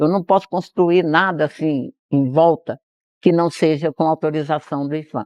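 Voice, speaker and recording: A woman's very deep, low voice moves fairly slowly, its intonation fairly even. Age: 70s. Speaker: historic farm owner. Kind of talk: interview. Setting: on a farm.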